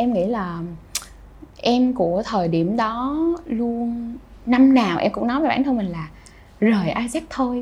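Amid noticeable background noise and audible room echo, a woman talks at a very slow pace with long, frequent pauses, a fairly high pitch and lively intonation. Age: 20s. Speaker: youth organization leader. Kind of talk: interview.

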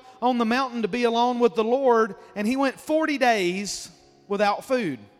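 With music in the background, the speaker talks in an American accent. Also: man. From Mississippi. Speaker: guest preacher. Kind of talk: sermon. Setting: church.

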